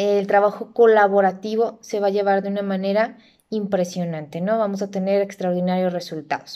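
Against a quiet background, a woman speaks at a moderate pace with fairly even intonation and a dark, mellow tone. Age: 30s. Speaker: university lecturer and accountant; teacher. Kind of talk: self-introduction video. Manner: hesitant, with frequent fillers. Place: home room. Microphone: phone near.

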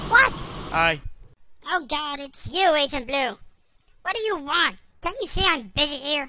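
A cartoonish character voice, high-pitched, at a moderate pace with long, frequent pauses. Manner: impatient, barking orders.

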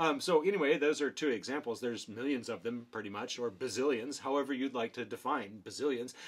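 The speech comes at a very fast pace with hardly any pauses. Pitch varies in an ordinary way. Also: man. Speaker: behavior analysis educator. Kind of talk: casual explainer video. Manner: filler-heavy, many ums. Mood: wry, joking.

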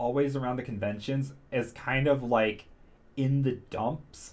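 A man is speaking. He goes at a fairly slow pace. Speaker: vlogger. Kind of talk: casual vlog chat. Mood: excited, candid. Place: home room. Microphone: studio mic.

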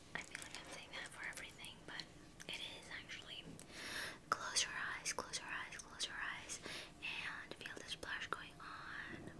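A woman's whisper at a fairly slow pace, with noticeable background noise. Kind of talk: ASMR roleplay, personal-attention makeup.

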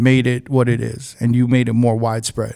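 A man with a dark, mellow tone talks at a fairly quick pace against a quiet background. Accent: New York. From New York. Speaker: DJ and podcast host; DJ, podcast host. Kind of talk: casual interview. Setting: studio. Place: studio. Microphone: studio mic.

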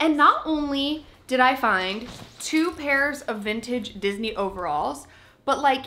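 A woman's raised, projected voice carries lively intonation at a fairly slow pace. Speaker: thrift haul vlogger. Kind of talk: casual vlog chat. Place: home room.

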